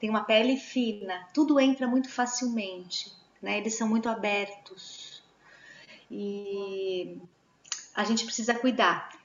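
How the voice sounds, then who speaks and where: Against noticeable background noise, a woman with a fairly high pitch speaks at a fairly slow pace, with fairly even intonation and long, frequent pauses. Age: 40s. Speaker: Waldorf educator. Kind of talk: online talk answering questions.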